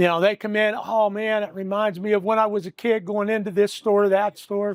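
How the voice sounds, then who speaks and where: Fairly quick, flat monotone speech with an American accent, dry and close with no echo. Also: man, high pitch for a man. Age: 60s. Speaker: small business owner. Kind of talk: casual interview.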